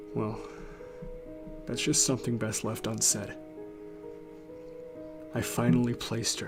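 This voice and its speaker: A man at a moderate pace with long, frequent pauses, music playing in the background. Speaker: creepypasta narrator. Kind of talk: horror story reading. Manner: gets quieter in the second half.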